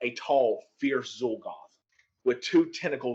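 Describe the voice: Plain reading aloud is heard with a quiet background behind it.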